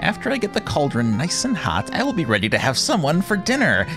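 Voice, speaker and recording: Put-on character voice from a man, high in pitch, at a very fast pace over loud background music. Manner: mumbling.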